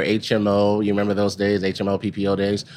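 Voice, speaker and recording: A man talks at a fairly quick pace with an American accent. He has a plain, everyday voice, pitched fairly low. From Texas, Dallas. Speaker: pharmaceutical executive. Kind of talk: interview. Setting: live at a conference.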